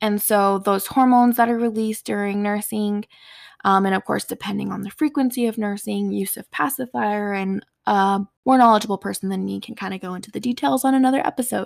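A woman's unremarkable speaking voice with an American accent, medium in pitch, at a fairly quick pace with ordinary pitch variation, dry and close with no echo, in a very clean recording over a silent background. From US Southwest, Four Corners area of New Mexico. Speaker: podcast host. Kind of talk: solo personal monologue.

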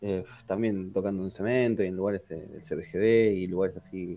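A man's dark, mellow tone with a Rioplatense accent, fairly low in pitch, fairly even in intonation, at a fairly slow pace. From Argentina, Quilmes (Buenos Aires south). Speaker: musician. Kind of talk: casual interview.

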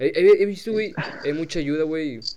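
An accented voice, Mexican, with audible room echo. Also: man. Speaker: podcast host. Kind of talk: casual chat.

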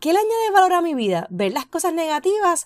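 Very wide pitch swings run through a woman's speech at a moderate pace. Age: 40s. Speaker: podcast host. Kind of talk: personal reflection monologue.

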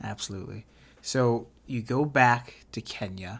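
This man has an unremarkable speaking voice, with medium pitch and ordinary pitch variation. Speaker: podcast host. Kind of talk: interview conversation.

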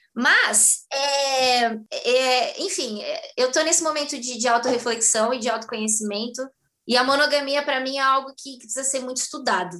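Raised and projected, a woman's voice has a bright, sharp tone and high pitch. She keeps a moderate pace. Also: ordinary pitch variation. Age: 20s. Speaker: actress and dance teacher. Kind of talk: casual chat.

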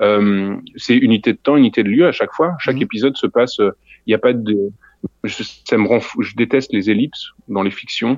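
Here a man talks at a moderate pace with medium pitch. His pitch variation is ordinary. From Lorraine, France (near Nancy). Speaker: audio fiction creator. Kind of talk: interview. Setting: remote call from a theatre hall. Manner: halting.

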